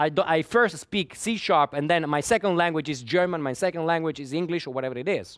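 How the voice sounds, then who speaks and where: Talking very fast with hardly any pauses, a man with an Italian accent uses a fairly high pitch and ordinary pitch variation. The recording is very clean, with a silent background. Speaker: conference speaker, software developer. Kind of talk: lecture. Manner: halting, with many repetitions.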